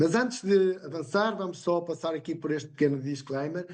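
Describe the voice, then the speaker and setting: A high-pitched man with a European Portuguese accent and ordinary pitch variation. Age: 60s. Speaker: independent business partner presenter. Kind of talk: sales pitch.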